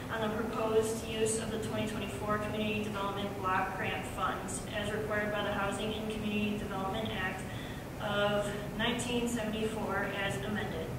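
Over loud background noise and audible room echo, a woman talks at a moderate pace. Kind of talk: formal reading of public notice. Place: meeting room.

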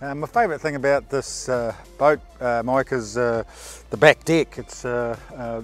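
A man speaks in a monotone, flat way at a moderate pace, in a dry sound with no echo and faint music in the background. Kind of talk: interview answer. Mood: relaxed, content. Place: street. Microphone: lapel.

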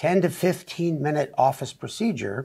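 A man speaks somewhat breathy at a fairly slow pace, with lively intonation. The background is quiet. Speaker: doctor co-host. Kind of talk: explanatory talk-show conversation. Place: studio. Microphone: lapel.

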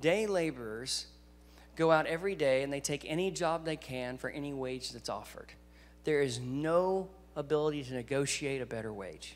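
A man with a Southern US accent talks at a moderate pace and fairly high pitch, with ordinary pitch variation and faint music in the background. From US South. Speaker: guest preacher. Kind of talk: sermon. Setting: church. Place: church. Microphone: handheld.

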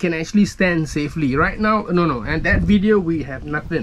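A man with lively intonation over light background noise. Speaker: sailing vlogger. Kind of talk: casual vlog chat. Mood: playful, self-mocking. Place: boat. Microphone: phone near.

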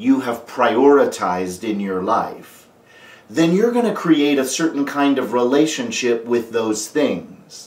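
Speech at a very slow pace, with audible room echo around it. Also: man. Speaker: life coach. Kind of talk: motivational talk to camera. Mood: calm earnest. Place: home room.

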